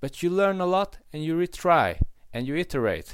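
A man speaks with a Hungarian accent. The recording is very clean, with a silent background. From Hungary. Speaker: podcast co-host. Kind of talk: casual chat. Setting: call. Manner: halting, with many fillers.

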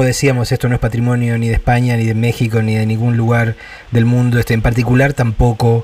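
A man at a medium pitch talks at a moderate pace, with noticeable background noise around him. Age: 50s. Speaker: radio host. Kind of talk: interview.

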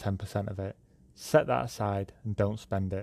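Against a quiet background, a man talks at a moderate pace in a fairly low voice. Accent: British. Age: 20s. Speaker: podcast host. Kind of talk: monologue podcast. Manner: hesitant with fillers.

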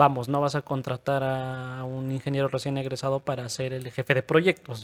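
A man with a Mexican accent speaks at a fairly slow pace, his voice dry and close with no echo. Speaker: podcast co-host. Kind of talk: casual chat.

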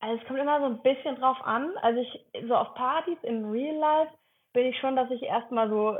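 A woman with a high pitch talks at a fairly quick pace with ordinary pitch variation. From Cologne area, Germany. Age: 30s. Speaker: content creator, former social worker. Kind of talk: casual interview.

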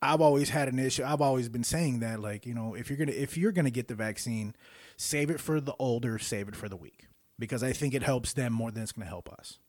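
Recorded very cleanly against a silent background, a man with a medium pitch and an unremarkable speaking voice talks with lively intonation. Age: 40s. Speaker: podcast host and musician. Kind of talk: casual chat.

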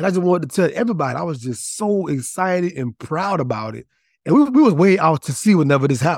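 Very fast and high-pitched, a man swings his pitch very widely on a very clean recording with a silent background. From Louisiana, Franklin. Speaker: author and counselor. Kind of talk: casual chat.

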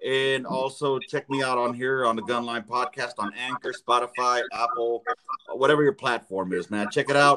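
Delivered at a moderate pace with fairly even intonation, this voice has a Los Angeles accent and a dry, close sound with no echo. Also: man, medium pitch for a man. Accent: Los Angeles American English. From South Central Los Angeles. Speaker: podcaster, guest. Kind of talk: casual chat.

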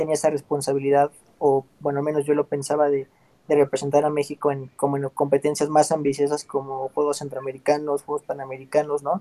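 The voice has a dark, mellow tone and a moderate pace. The sound is dry and close, with no echo. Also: man. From Mexico City. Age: 30s. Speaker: Olympic badminton player. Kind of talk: interview.

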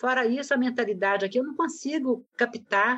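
A woman is speaking. Her pace is moderate. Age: 60s. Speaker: guest, mother of the co-host. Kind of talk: casual chat.

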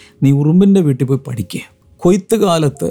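A man speaks in a dark, mellow tone. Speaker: preacher. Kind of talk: sermon.

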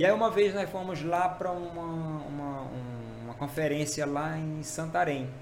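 There is audible room echo and noticeable background noise as a man talks with a fairly high pitch and ordinary pitch variation. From Maranhão, Brazil. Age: 40s. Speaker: pastor. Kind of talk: testimony. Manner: casual, halting with fillers.

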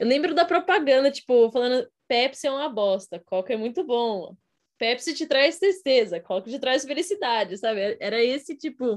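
This woman speaks at a fairly quick pace with a high pitch and very wide pitch swings. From Brazil. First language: Portuguese. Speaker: podcast co-host. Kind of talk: casual chat.

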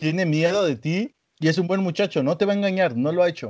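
Speaking with a Mexican accent, a man uses a high pitch, ordinary pitch variation and a moderate pace, in a dry, close sound with no echo. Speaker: podcast co-host. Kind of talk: casual chat.

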